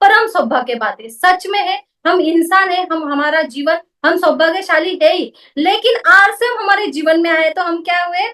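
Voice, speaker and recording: A woman speaks in a Marathi accent at an extremely high pitch. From Maharashtra, India (Mumbai). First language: Marathi (speaking Hindi). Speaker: network marketing business woman. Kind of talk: motivational talk.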